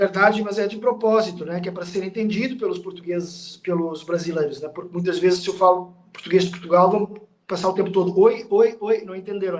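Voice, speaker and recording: Speaking at a fairly quick pace, a man with a high pitch makes big swings in loudness. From Portugal.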